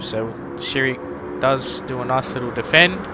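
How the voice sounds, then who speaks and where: Speaking at a fairly slow pace with an Australian accent, a man's medium-pitched voice makes very wide pitch swings, with audible room echo and noticeable background noise. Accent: Australian twang. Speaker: sim racing commentator. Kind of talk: live commentary; stream host chat. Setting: live stream.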